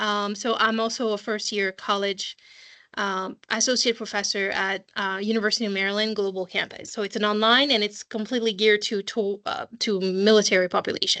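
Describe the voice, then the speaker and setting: A woman with a French accent speaks in a bright, sharp tone with monotone, flat intonation. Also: medium pitch for a woman, fairly quick pace, quiet background. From France. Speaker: school college counseling assistant. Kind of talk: online parent information session. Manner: hesitant, many fillers.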